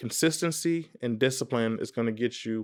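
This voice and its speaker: The recording is very clean, with a silent background. A man with an American accent speaks at a moderate pace and medium pitch. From Texas, Dallas area (Irving). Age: 20s. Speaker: business vlogger. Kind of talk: vlog monologue. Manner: halting, many fillers and restarts.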